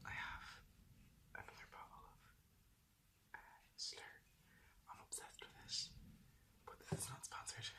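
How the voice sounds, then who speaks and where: Whispering at a moderate pace, a man leaves long, frequent pauses, his loudness swinging widely. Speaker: ASMR video creator. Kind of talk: casual talk to camera. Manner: whispered, soft-spoken.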